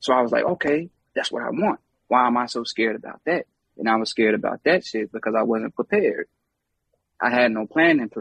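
A man's medium-pitched voice, fairly quick and lively in intonation, recorded dry and close with no echo. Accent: American. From US South, Charlotte, North Carolina. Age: 30s. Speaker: hip hop artist. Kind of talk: casual chat.

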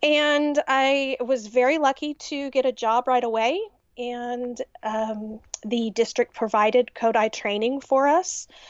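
A woman's high-pitched voice in a Texan accent, fairly slow, with ordinary pitch variation. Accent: Texan American. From Texas, US. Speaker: music teacher. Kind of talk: casual interview chat.

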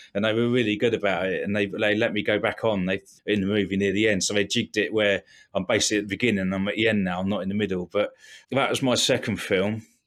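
Fairly low-pitched man with an English accent, very clean recording, silent background. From England. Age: 40s. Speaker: bodyguard and actor. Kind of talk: interview conversation.

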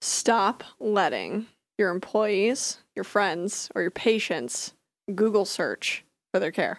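A woman with an American accent speaks at a very slow pace in a medium pitch with vocal fry, on a very clean recording with a silent background. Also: ordinary pitch variation. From rural US. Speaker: health tech startup CEO. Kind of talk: casual chat.

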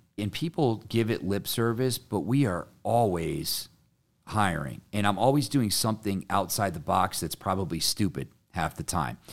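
In an American accent, a man with a normal speaking voice and a fairly low pitch talks at a moderate pace with lively intonation, recorded very cleanly over a silent background. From Connecticut. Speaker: painting business owner. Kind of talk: casual interview chat. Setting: in person.

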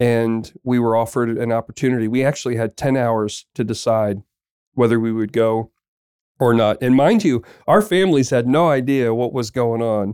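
The sound is dry and close with no echo, a very clean recording with a silent background. The pace is moderate and the pitch variation ordinary. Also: man, medium pitch for a man. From southern New Jersey. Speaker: marketing director. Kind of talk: casual interview. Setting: office. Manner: halting, many fillers.

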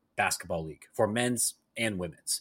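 A man with a plain, everyday voice, medium pitch, a fairly quick pace, and a very clean recording over a silent background. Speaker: podcast host. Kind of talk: casual chat.

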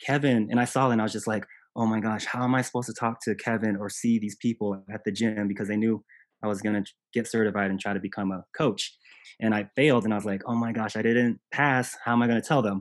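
Speech from a man comes very fast. Nothing much stirs in the quiet background. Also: medium pitch for a man, fairly even intonation. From grew up moving around on military bases. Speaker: CrossFit coach. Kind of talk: casual interview.

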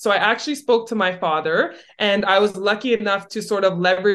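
A woman with a Canadian accent speaks in a plain, everyday voice, medium in pitch, at a moderate pace with ordinary pitch variation. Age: 20s. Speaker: real estate broker and retired athlete. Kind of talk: podcast interview.

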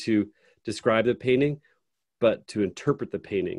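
In an American accent, a man uses a normal speaking voice at medium pitch and a fairly quick pace, with ordinary pitch variation, on a very clean, dry, close recording with no echo and a silent background. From rural upstate New York. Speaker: podcast host. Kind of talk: interview.

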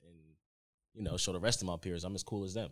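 A man speaks with an American accent at a very deep, low pitch. His intonation stays fairly even. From Norwalk, Connecticut. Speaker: videographer. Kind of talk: casual chat.

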